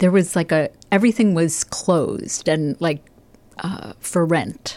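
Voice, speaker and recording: In a plain, everyday voice, a woman speaks at a fairly low pitch and a fairly slow pace with ordinary pitch variation. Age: 60s. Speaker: stand-up comedian. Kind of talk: casual chat.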